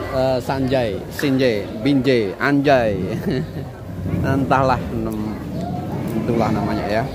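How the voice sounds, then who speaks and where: The sound is dry with no echo, and music plays in the background. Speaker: food vlogger. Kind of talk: casual vlog chat. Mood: playful, joking. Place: cafe. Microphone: phone near.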